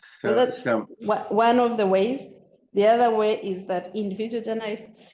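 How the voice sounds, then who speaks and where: A woman speaks in a dark, mellow tone. Her pace is fairly slow and her intonation fairly even. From Uganda. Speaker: lawyer, journalist and digital activist. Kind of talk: interview answer.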